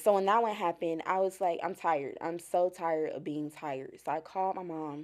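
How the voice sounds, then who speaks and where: With a plain, everyday voice, a woman speaks at a fairly quick pace and fairly low pitch, her intonation fairly even and hardly any pauses in between. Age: 20s. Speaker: mental health advocate. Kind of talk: testimony.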